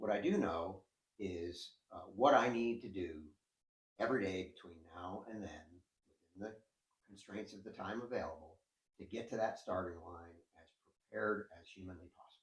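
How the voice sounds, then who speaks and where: A man's fairly low, somewhat breathy voice with ordinary pitch variation, big swings in loudness, a moderate pace and long, frequent pauses. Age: 60s. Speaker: endurance cyclist and coach. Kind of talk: interview. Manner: hesitant, with frequent fillers.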